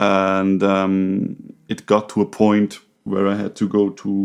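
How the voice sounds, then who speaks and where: Speaking very slowly with a non-native accent, a man uses a fairly low pitch and a monotone, flat intonation. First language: not English. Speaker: podcast co-host, recovery counselor. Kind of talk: casual conversation. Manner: halting, with many fillers.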